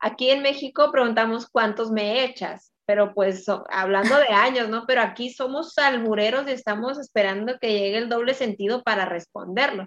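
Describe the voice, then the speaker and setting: A woman with an unremarkable speaking voice talks at a moderate, fairly high pitch with ordinary pitch variation and hardly any pauses. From Mexico. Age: 20s. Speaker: podcast co-host. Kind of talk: casual chat.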